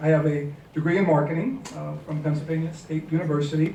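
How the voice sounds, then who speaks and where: A man with a fairly high pitch talks at a very fast pace in a flat monotone, with audible room echo and noticeable background noise. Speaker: business consultant. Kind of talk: panel talk.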